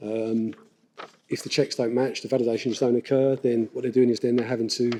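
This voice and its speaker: A man mumbles at a fairly quick pace in a dark, mellow tone with monotone, flat intonation. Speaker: council IT development manager, conference presenter. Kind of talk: conference presentation. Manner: mumbling.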